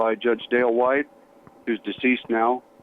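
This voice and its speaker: A man at medium pitch with an American accent, moderate pace and flat, monotone intonation. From Colorado, US. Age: 60s. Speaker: retired fire chief. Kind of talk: interview.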